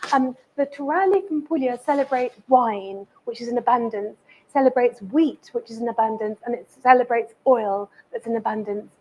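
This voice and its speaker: A woman with an English accent, high-pitched, with ordinary pitch variation, a moderate pace and big swings in loudness. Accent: sounds very English. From Italy, Amalfi coast, moved to England at 12. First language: Italian. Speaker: chef and cookery teacher. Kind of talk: cooking demonstration. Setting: cookery school demonstration with live audience.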